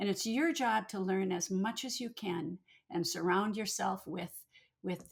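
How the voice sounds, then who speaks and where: A woman with an American accent talks at a medium pitch with ordinary pitch variation. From Minnesota. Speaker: retired pediatrician, cancer survivor and advocate. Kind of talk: interview.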